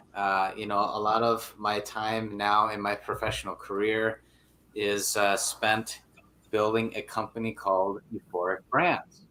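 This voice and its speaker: A man talks with an Upper Midwest accent. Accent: Upper Midwest (Minnesota). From Minnesota, Brainerd area. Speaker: angler and businessman. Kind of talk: interview. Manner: casual, filler-heavy.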